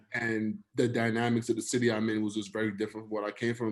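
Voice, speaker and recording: In a New York accent, a man speaks at a very fast pace with medium pitch and monotone, flat intonation. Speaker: finance professional. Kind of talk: casual chat. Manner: relaxed, slangy.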